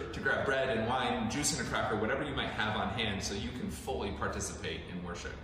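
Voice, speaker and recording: A man talks at a fairly quick pace amid noticeable background noise and strong room echo. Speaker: pastor. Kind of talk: announcement to congregation. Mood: warm, welcoming. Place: church.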